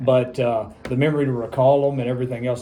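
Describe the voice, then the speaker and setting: A man is speaking. Music plays in the background. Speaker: interviewer. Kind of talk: casual interview introduction and questions.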